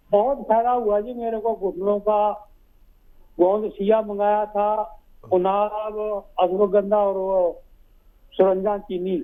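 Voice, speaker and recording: A man's high-pitched voice in a dark, mellow tone with fairly even intonation. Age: 60s. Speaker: caller. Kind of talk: phone-in testimony.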